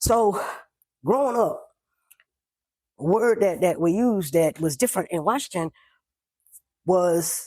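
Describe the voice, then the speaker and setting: A man's high, animated voice with an American accent, lively intonation and a fairly slow pace. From Oklahoma City, US South. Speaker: podcast host. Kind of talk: personal storytelling. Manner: animated, repetitive.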